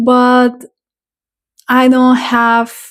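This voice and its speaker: The background is silent on a very clean recording. A woman talks with a non-native accent. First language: not English. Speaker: tarot reader and spiritual content creator. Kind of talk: casual vlog monologue. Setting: home. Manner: unscripted, hesitant with fillers.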